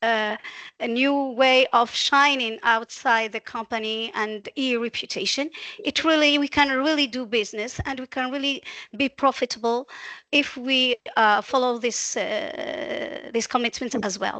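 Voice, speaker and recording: With a non-native accent, a woman uses a raised, projected voice that is high-pitched, bright and sharp, speaking at a fairly slow pace with ordinary pitch variation, the sound dry and close with no echo over a quiet background. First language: not English. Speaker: webinar participant. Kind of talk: audience comment. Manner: halting.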